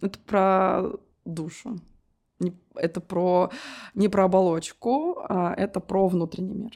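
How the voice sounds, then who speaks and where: Her tone dark and mellow, a woman talks at a very slow pace with fairly even intonation and long, frequent pauses. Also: medium pitch for a woman. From Russia, provincial town near Moscow. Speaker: wedding agency founder. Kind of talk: interview.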